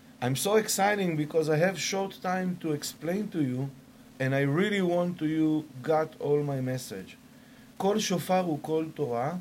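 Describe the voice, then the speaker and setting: A man with an Israeli accent speaks at a fairly slow pace, his fairly high pitch showing ordinary variation. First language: Hebrew. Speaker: shofar maker. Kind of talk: sales pitch; interview. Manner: halting.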